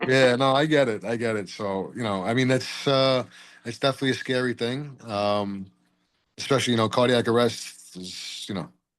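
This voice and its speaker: A man's medium-pitched voice, with ordinary pitch variation, moves at a moderate pace. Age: 40s. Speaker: person with epilepsy sharing experience. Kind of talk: casual group chat, testimony. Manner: hesitant, many fillers.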